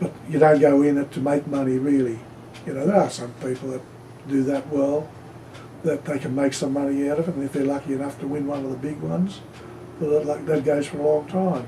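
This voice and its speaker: An Australian accent marks this man's fairly quick speech, pitched fairly high with fairly even intonation over noticeable background noise. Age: 70s. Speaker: pigeon racer. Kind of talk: interview.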